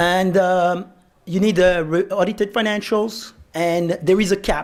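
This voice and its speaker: Over a silent background in a very clean recording, a man speaks with high pitch and a French accent. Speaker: securities lawyer, panel moderator. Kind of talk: panel discussion. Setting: conference lunch panel.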